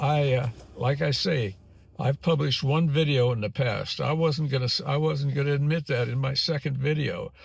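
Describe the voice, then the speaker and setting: A somewhat breathy man at a fairly high pitch, moderate pace and fairly even intonation. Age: 80s+. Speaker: YouTuber, retiree. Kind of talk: casual vlog monologue. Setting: in a car, filming while driving. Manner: halting, many repetitions and fillers.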